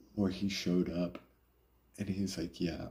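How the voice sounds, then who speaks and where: A somewhat breathy voice with a dark, mellow tone. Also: man. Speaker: live streamer. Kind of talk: casual chat. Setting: live stream. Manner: casual, conversational.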